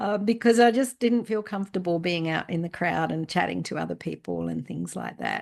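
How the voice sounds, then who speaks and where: Against a quiet background, a woman talks at a fairly quick pace with hardly any pauses. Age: 60s. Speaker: leadership and book coach. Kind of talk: interview, personal story. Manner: hesitant, many fillers.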